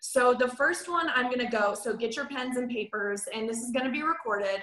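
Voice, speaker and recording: A fairly quick pace and ordinary pitch variation, with noticeable background noise. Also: woman, high pitch for a woman. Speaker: hairstylist and product trainer. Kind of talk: training webinar. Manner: fast; casual, filler-heavy.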